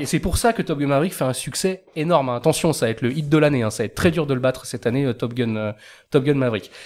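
Talking at a very fast pace with lively intonation, a man is heard on a very clean recording with a silent background. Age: 30s. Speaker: film podcast panelist. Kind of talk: casual chat.

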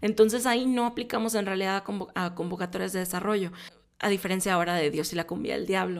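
Talking very fast, a woman speaks at a medium pitch. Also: ordinary pitch variation. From Mexico, Monterrey. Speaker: film producer and podcast host. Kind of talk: casual solo podcast talk. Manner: hesitant, with frequent filler 'eh'.

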